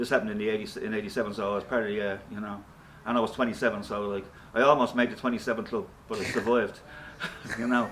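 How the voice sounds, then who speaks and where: A man with a Dublin accent talks at a very fast pace yet with long, frequent pauses, his medium-pitched voice monotone and flat. Noticeable background noise runs underneath. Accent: Dublin Irish. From Ireland, Dublin (Ballyfermot). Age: 60s. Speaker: rock guitarist and singer. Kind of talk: interview. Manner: casual.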